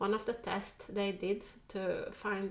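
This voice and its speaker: A woman speaks with a Finland Swedish accent. Her pitch sits in the medium range. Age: 40s. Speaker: tarot reader. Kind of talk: casual talk to camera.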